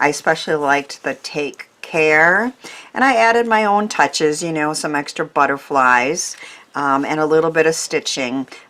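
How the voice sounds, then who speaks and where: A woman's very deep, low-pitched voice with lively intonation over noticeable background noise. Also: moderate pace. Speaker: craft YouTuber. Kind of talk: craft tutorial. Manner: hesitant, many fillers.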